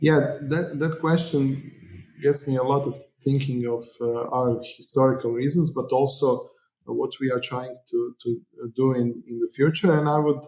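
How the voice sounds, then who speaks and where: A fairly high-pitched man with a Croatian accent, fairly slow in pace and fairly even in intonation. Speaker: mayor. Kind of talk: interview. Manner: hesitant.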